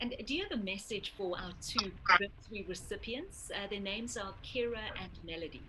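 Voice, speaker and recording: A woman with an ordinary speaking voice, medium pitch, ordinary pitch variation, a moderate pace, and hardly any pauses. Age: 40s. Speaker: interviewer on a charity cycle tour. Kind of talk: interview.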